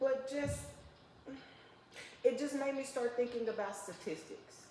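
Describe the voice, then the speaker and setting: Amid audible room echo, a woman with a high voice speaks in an animated tone with lively intonation. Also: fairly slow pace. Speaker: podcast host. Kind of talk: interview.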